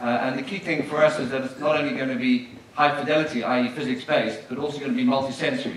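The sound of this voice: Amid strong room echo, a man talks at a fast pace with fairly even intonation. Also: medium pitch for a man, fairly bright tone.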